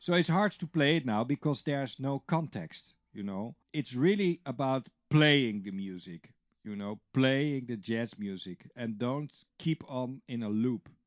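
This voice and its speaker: A man at medium pitch speaks with lively intonation. The recording is very clean with a silent background, and the sound is dry and close with no echo. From Netherlands. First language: Dutch. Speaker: drum teacher. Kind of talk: tutorial. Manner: casual, conversational with fillers.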